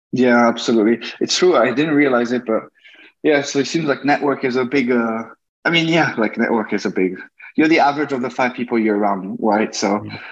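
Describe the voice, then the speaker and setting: With a French accent, a man speaks at a fairly quick pace and medium pitch with ordinary pitch variation. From France and China. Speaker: tech worker and content creator. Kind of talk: interview. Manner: halting.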